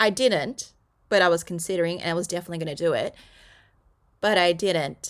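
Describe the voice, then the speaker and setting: Over a silent background in a very clean recording, a woman with an Australian accent talks at a fairly quick pace in a medium-pitched voice. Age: 30s. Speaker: podcast host. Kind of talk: solo podcast monologue. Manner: casual, chatty.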